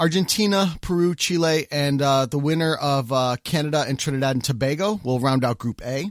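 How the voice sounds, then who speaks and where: A man with an American accent, a plain, everyday voice, fairly high pitch, ordinary pitch variation and a fairly quick pace. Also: hardly any pauses, very even loudness. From United States. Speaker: soccer podcast host. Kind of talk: casual chat.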